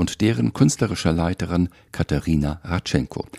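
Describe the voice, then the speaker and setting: The voice has a dark, mellow tone and lively intonation, recorded with a dry, close sound with no echo on a very clean recording with a silent background. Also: man. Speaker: podcast host, journalist. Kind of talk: scripted intro in German. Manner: hesitant, repeats words.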